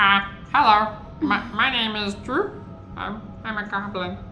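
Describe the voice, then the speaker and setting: A fairly high-pitched, put-on character voice at a very slow pace, with clear background noise. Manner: goblin voice, introducing himself.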